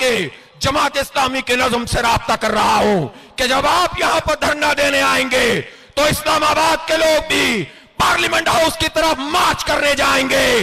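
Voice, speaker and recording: A man's raised, projected voice at an extremely high pitch, with ordinary pitch variation and noticeable background noise. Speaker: political party leader. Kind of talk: political rally speech. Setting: outdoors, public address system at a rally.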